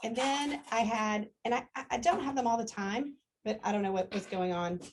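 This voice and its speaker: Her voice is somewhat breathy and fairly high-pitched. This woman speaks with lively intonation. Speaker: customer giving a product testimonial. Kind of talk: testimony. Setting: live gathering with small group. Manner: fast; halting, many fillers and restarts.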